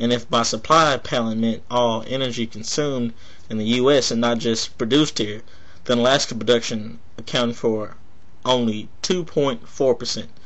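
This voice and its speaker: A man with an American accent, fairly even intonation and audible room echo. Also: medium pitch for a man, moderate pace. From Texas. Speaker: political video blogger. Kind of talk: political commentary monologue.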